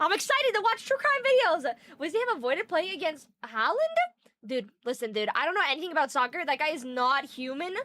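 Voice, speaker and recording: Very fast and animated, a woman projects a raised voice at an extremely high pitch with very wide pitch swings. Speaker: streamer. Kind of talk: live stream chat reading.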